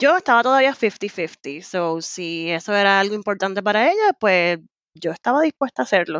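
This woman has an unremarkable speaking voice at medium pitch. She moves at a moderate pace with lively intonation. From Puerto Rico. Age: 30s. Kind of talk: casual interview.

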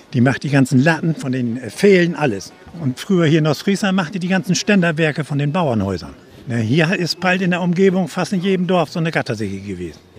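The speaker moves at a fairly quick pace with lively intonation, and noticeable background noise is present. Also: man, fairly high pitch for a man. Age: old. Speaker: retired ship engineer. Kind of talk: casual chat. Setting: outdoors.

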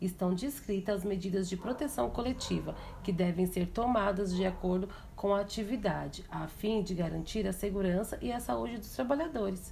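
A woman's unremarkable speaking voice, medium in pitch, with lively intonation at a moderate pace. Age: 30s. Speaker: vocational student. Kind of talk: educational presentation. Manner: formal.

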